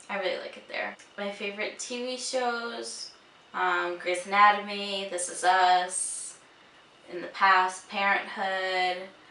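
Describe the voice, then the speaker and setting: A woman speaks very slowly at a medium pitch with ordinary pitch variation and big swings in loudness. Noticeable background noise and audible room echo surround her. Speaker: beauty and lifestyle vlogger. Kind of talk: casual vlog chat. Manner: mumbling.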